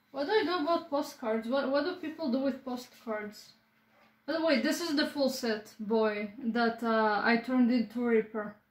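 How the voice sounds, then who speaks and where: A woman's high-pitched voice at a moderate pace, with ordinary pitch variation and audible room echo. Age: 20s. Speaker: vlogger. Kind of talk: casual vlog chat. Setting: at home, filming own room. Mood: playful, joking. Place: home room. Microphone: phone near.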